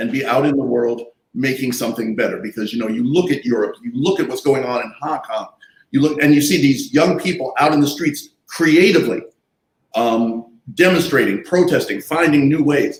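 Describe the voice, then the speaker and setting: Using a normal speaking voice, a man talks at a moderate pace with a fairly high pitch and ordinary pitch variation. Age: 60s. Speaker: artist and activist. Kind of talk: panel discussion.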